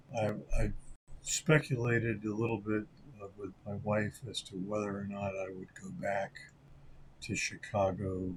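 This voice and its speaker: In an American accent, a man with a fairly low, somewhat breathy voice speaks at a fairly slow pace, leaving long, frequent pauses. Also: ordinary pitch variation, big swings in loudness. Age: 70s. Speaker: sports card collector YouTuber. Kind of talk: casual vlog monologue. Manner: halting, many filler words.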